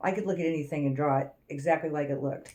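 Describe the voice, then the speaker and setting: A woman's dark, mellow voice at a very fast pace, with ordinary pitch variation. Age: 60s. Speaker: astrology channel co-host. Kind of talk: casual chat.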